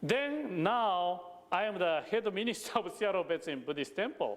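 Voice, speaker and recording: A man with a Japanese accent, speaking at a fairly slow pace. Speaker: Buddhist minister. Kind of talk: sermon. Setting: temple service. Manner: halting.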